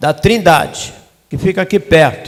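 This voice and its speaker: A man talks with ordinary pitch variation. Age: 80s+. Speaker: retired pastor. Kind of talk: self-introduction at church meeting.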